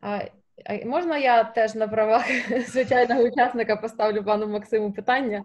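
Against a quiet background, a woman speaks at a moderate pace in a fairly high voice with fairly even intonation. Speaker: press moderator. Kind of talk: moderating press briefing. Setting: video call. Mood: friendly, smiling. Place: home room. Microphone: webcam.

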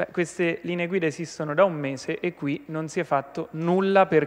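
Fairly quick male speech with fairly even intonation. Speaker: regional councillor. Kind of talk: parliamentary question time, opposition attack. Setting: regional assembly chamber. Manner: indignant, forceful; accusatory, rhetorical. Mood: critical, combative. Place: hall. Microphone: podium.

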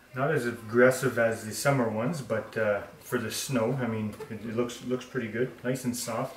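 Audible room echo around a man's medium-pitched voice, fairly even in intonation, at a moderate pace

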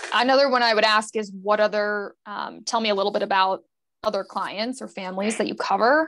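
A woman's normal speaking voice with an American accent, fairly high-pitched, at a fairly quick pace. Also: fairly even intonation. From Connecticut. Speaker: private banker; panelist. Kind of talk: panel discussion. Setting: video call. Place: office. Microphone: earbuds.

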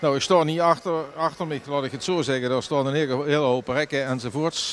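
A man talks at a fairly quick pace with fairly even intonation, his voice dry with no echo over light background noise. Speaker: local TV reporter. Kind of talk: on-location news report. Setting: outdoors at shopping centre. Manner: casual, halting with fillers. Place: market. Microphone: handheld.

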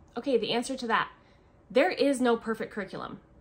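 An American woman talks at a very fast pace. Her pitch sits fairly high. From US Pacific Northwest. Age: 30s. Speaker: homeschooling mother and family vlogger. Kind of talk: casual vlog monologue. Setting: at home, filming a video. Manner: chatty, with frequent fillers. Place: home room. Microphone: phone near.

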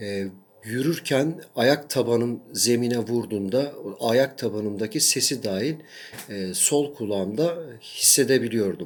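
This man's voice sits at a medium pitch. It varies in pitch by an ordinary amount. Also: fairly slow pace. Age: 40s. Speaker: academic and patient sharing his illness experience. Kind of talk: personal video testimony. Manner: hesitant with frequent fillers.

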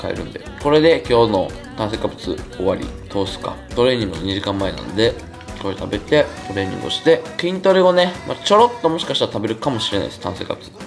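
The loudness swings widely. Clear music plays in the background. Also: man. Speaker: fitness vlogger. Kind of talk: casual vlog chat. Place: home room. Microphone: camera far.

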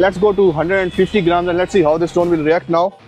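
Faint music plays behind a man with a high pitch. He talks at a fairly quick pace. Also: dry sound with no echo. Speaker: drone reviewer. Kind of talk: casual commentary while testing. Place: open country. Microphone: lapel.

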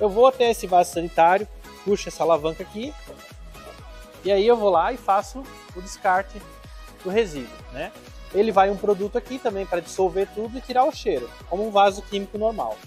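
Over faint background music, a man with a high voice speaks at a fairly quick pace with ordinary pitch variation. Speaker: trailer salesman. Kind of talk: product demonstration. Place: garage. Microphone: lapel.

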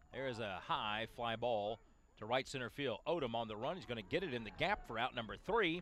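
At a fairly quick pace, a man with an unremarkable speaking voice and a medium pitch talks with lively intonation. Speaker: baseball play-by-play announcer. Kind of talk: live sports commentary, calling baseball plays. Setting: highlight video of a college baseball game.

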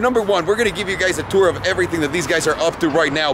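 With lively intonation and a very fast pace, a man talks over noticeable background noise in a dry sound with no echo. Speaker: vlogger host. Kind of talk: casual vlog chat. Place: street. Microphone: phone near.

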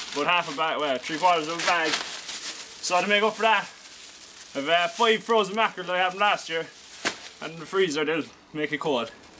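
A man speaks in a raised, projected voice at a moderate pace over noticeable background noise. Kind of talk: casual vlog chat. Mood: light, joking. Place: garden. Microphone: camera far.

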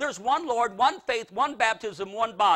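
An extremely high male voice, raised and projected, bright and sharp in tone, animated and lively in intonation, at a moderate pace against a quiet background. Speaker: preacher. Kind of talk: sermon. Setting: church. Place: church.

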